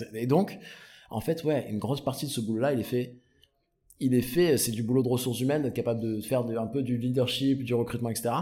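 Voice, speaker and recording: With a dark, mellow tone and fairly even intonation, a man speaks very fast at a medium pitch. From southern France, Provence/Marseille. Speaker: startup founder and CEO. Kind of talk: casual interview.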